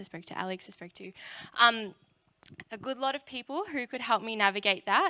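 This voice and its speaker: A bright, sharp voice with an Australian accent moves at a fairly quick pace. The recording is very clean, with a silent background. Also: woman. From Australia, Melbourne area. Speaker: youth speaker. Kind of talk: sermon. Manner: casual, many fillers.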